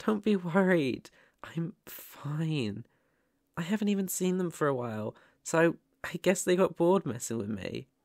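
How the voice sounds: A man uses a put-on character voice, fairly high in pitch, with vocal fry and lively intonation. He talks at a slow pace in a dry, close sound with no echo. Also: very clean recording, silent background.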